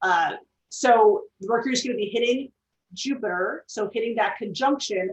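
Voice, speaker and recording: A woman talks with a fairly high pitch. Her pitch varies an ordinary amount. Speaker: astrologer and author. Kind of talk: casual interview on astrology. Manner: loud.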